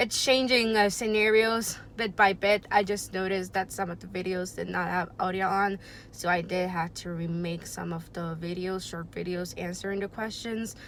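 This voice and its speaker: A woman with a Spanish accent, medium pitch, ordinary pitch variation and a moderate pace. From Puerto Rico. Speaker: booktuber, audiology student. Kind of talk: casual vlog introduction. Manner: hesitant, many fillers.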